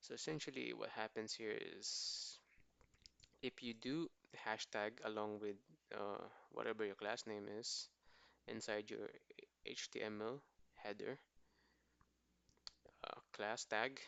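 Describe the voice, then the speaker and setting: A quiet man at a fairly slow pace, with long, frequent pauses. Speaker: coding bootcamp student. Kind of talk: screen-share coding explanation. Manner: quiet, lowered voice; casual.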